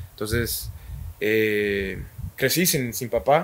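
A man talks at a very slow pace. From Guatemala, Guastatoya. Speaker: professional footballer. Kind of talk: interview. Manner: halting.

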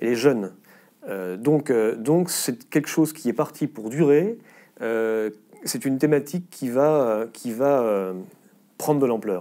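Over a quiet background, a man speaks at a fairly slow pace with a dark, mellow tone and ordinary pitch variation. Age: 50s. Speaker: politician and former veterinarian; politician. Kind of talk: interview. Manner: halting, frequent repetitions and hesitations. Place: studio. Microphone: lapel.

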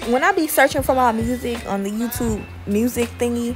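Background music accompanies a woman talking at a moderate speed. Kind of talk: casual vlog chat. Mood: grateful, relaxed.

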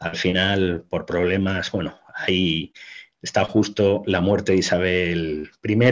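Against a quiet background, a man with a very deep, low pitch speaks at a very slow pace in a monotone, flat intonation. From Spain. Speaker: military historian; guest. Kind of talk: interview talk on history. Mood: relaxed, explanatory. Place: home room. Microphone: webcam.

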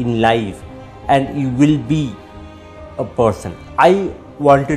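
Faint music plays in the background while a man speaks in a fairly high voice. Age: 40s. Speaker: radio jockey, actor, author. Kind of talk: interview answer. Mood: grateful, hopeful. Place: home room. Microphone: headset.

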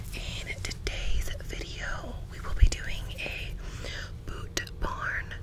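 A woman's voice over loud background noise. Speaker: ASMR creator. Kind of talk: ASMR shopping haul. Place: home room. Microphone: studio mic.

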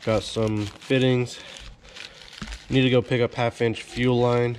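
A man's medium-pitched voice stays monotone, flat in intonation, against noticeable background noise. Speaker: DIY truck mechanic video host. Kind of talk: casual how-to vlog.

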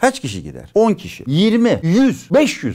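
This man's pitch swings very widely as he speaks. The background is quiet. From Turkey. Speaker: physician and former senior health official; guest. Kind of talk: interview. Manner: animated. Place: studio. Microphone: lapel.

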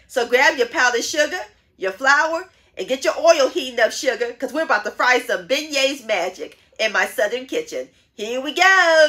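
With a quiet background, a raised, projected voice with a bright, sharp tone moves at a moderate pace with lively intonation. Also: woman. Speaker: home cooking channel host. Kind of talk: cooking show intro. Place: home room.

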